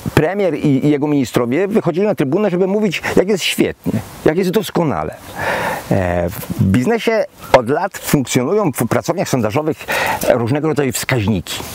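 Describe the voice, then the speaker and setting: Pitch swings very widely at a moderate pace in a dry sound with no echo, with light background noise. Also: man. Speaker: former minister commenting on politics. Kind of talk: video blog commentary. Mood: indignant, worried. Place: garden.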